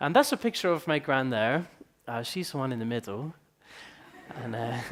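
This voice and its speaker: In an Edinburgh accent, a man speaks at a moderate pace with a medium pitch and ordinary pitch variation. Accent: Scottish (Edinburgh). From Scotland, Edinburgh. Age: 20s. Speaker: entrepreneur, company founder. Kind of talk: conference talk.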